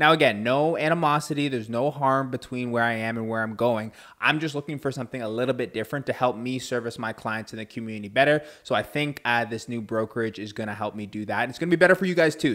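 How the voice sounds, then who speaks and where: A man's energetic, very fast delivery with hardly any pauses, on a very clean recording against a silent background. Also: medium pitch for a man, ordinary pitch variation. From Canada, Ontario (Durham Region). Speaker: realtor and podcast host. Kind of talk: podcast monologue.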